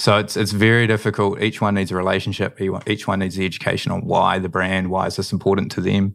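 A man speaks at a very fast pace with a New Zealand accent. His fairly low voice stays monotone and flat. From New Zealand, Manawatu. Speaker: drinks company co-founder. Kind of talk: interview.

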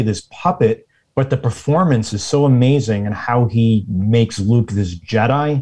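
A man speaks at a medium pitch and a moderate pace, sounding somewhat breathy. His pitch varies in an ordinary way over a quiet background. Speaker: guest, Twitch community member. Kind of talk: casual chat.

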